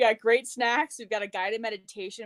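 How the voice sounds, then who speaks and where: A woman's voice with ordinary pitch variation. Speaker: holistic nutrition practitioner. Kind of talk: interview on live stream. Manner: fast; animated.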